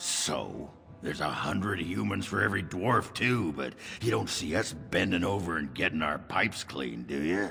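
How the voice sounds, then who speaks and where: A man uses a put-on character voice with a very deep, low pitch. He goes at a moderate pace over clear background noise. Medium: video game. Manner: gruff, crude.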